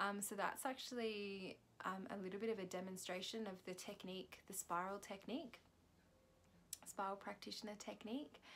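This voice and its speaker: A soft-spoken woman of medium pitch, at a moderate pace, with fairly even intonation. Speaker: spiritual healing practitioner vlogger. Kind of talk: vlog reflection after self-guided chakra clearing. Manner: halting, many fillers.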